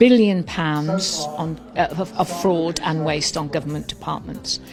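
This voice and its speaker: A woman's fairly low voice with a British accent, moderate pace and ordinary pitch variation, over noticeable background noise. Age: 60s. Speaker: political commentator. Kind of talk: political talk. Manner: animated.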